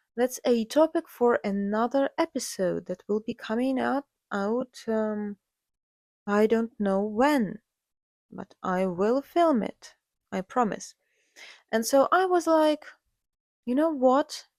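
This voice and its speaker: A woman with a Ukrainian accent speaks at a very slow pace, leaving long, frequent pauses, her fairly high pitch moving with lively intonation. The recording is very clean with a silent background and a dry, close sound with no echo. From Ukraine. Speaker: podcast host, artist. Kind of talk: casual monologue. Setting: home recording alone with cats. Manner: hesitant with fillers.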